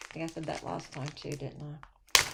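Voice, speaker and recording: A woman speaks quietly at a moderate pace against noticeable background noise. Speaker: cross-stitch video host. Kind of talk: casual chat. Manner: hesitant, many fillers.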